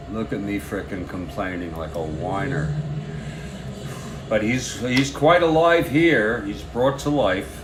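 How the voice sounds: Against clear background noise, a man speaks at a slow pace. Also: fairly low pitch for a man, ordinary pitch variation.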